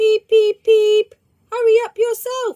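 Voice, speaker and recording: A woman's put-on, squeaky character voice, extremely high in pitch, fairly slow and monotone, with flat intonation. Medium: read story. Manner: cheeky, lively.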